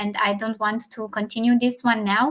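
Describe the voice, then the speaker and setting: A woman speaks with a non-native accent. Her pitch sits fairly high. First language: not English. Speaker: leadership talk show co-host. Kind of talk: casual discussion. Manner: halting.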